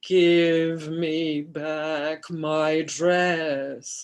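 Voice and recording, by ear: This is a put-on character voice at a middle pitch. Its intonation is monotone and flat.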